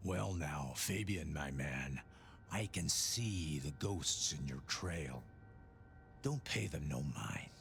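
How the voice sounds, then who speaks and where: A man uses a put-on character voice at a very slow pace. Clear background noise is heard behind him. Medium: video game. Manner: cryptic, soothing.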